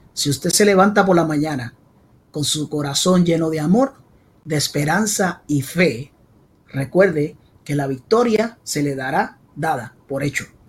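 Animated in tone, a man with a fairly high pitch speaks with lively intonation. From Puerto Rico (San Juan). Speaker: salsa podcast host. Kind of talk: casual interview.

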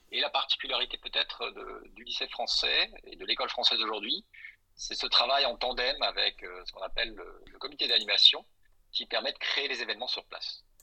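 Fairly quick in pace, a man's speech shows big swings in loudness. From Belgium and Alsace (Brussels, Strasbourg). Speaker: school support association president and consular councillor. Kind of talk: podcast interview.

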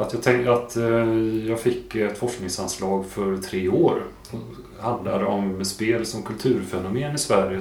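A man's fairly low voice with fairly even intonation, audible room echo and noticeable background noise. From Värmland, Sweden (Kristinehamn). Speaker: university researcher on gambling. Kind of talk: interview.

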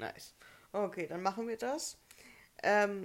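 A woman speaks fairly slowly with a fairly high voice. Her pitch variation is ordinary. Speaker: podcast co-host. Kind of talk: casual chat.

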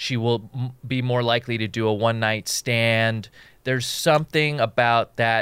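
At a moderate pace, a plain, everyday voice with an American accent speaks with fairly even intonation in a dry, close sound with no echo. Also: man, medium pitch for a man. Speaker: comedian and podcast host. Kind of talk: casual chat.

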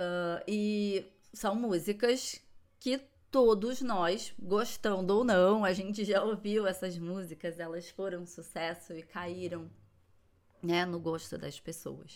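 Slowing to a very slow pace, a woman speaks at a medium pitch with ordinary pitch variation and big swings in loudness. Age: 40s. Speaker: psychologist podcast host. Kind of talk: solo podcast monologue. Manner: warm, casual.

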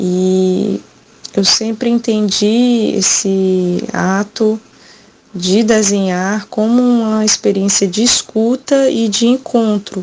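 A woman's fairly high voice, very slow, with very even loudness and fairly even intonation. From Brazil, Ceará backlands (Quixadá). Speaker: poet and visual artist. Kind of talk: recorded interview.

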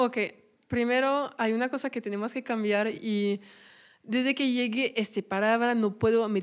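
In a French accent, a woman talks at a fairly high pitch and a fairly slow pace with monotone, flat intonation, recorded very cleanly against a silent background. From France. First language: French (speaking Spanish). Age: 20s. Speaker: podcaster. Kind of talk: casual chat.

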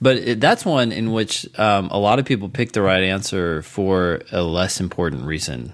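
With hardly any pauses and lively intonation, an unremarkable speaking voice goes along at a moderate pace. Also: man, fairly low pitch for a man. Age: 40s. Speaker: podcast co-host, test prep tutor. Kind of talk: casual chat. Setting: remote call.

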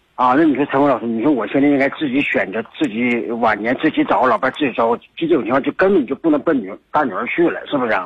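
Barely pausing, a man speaks at a very fast pace. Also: medium pitch for a man, ordinary pitch variation. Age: 60s. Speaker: caller. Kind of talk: phone call. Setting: phone call. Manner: halting.

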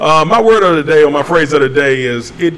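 Man with a fairly high pitch and lively intonation at a moderate pace, over noticeable background noise. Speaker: podcast host. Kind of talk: casual live talk show.

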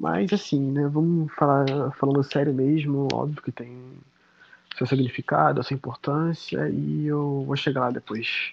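A man speaks at medium pitch. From Baixada Fluminense, Rio de Janeiro, Brazil. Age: 20s. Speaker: history master's student. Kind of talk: casual interview. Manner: animated.

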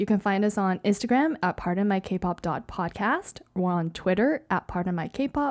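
A woman with a plain, everyday voice speaks in a Canadian accent at a moderate pace. Her intonation is lively, and the recording is very clean with a silent background. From Canada. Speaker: podcast co-host. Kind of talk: casual chat.

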